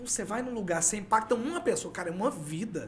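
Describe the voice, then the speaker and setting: Here a man talks at a fairly quick pace. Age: 40s. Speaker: podcast guest, former election campaign worker. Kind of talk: casual interview chat. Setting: studio.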